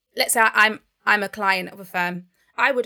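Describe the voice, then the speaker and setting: A woman speaks with a London accent at a medium pitch, her tone bright and sharp with vocal fry. Her intonation is fairly even on a very clean recording with a silent background. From England (Barnet, north London), Nigerian heritage. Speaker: accountant, co-founder of a non-profit. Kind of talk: interview.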